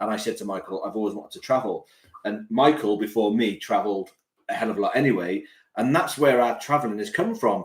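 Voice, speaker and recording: Talking at a very fast pace, a man speaks with a Cardiff accent at a medium pitch. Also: ordinary pitch variation. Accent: Welsh (Cardiff). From Wales, Cardiff. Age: 40s. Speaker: police community support officer, travel vlogger. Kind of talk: casual live stream Q&A chat.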